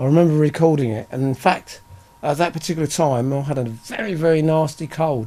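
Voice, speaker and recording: A fairly high-pitched man with an English accent, moderate pace and ordinary pitch variation. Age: 60s. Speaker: rock singer and bassist. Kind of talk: interview. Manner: halting.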